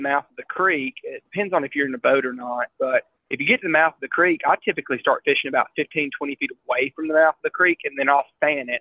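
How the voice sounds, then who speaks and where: With an ordinary speaking voice, a man talks at a fairly high pitch and a fairly quick pace, using ordinary pitch variation. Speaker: fly fishing guide. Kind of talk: casual interview.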